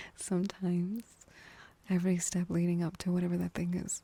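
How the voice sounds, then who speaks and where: The voice is soft-spoken with a gentle tone. It moves at a moderate pace. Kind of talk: ASMR comforting talk for sleep. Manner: soft-spoken, gentle.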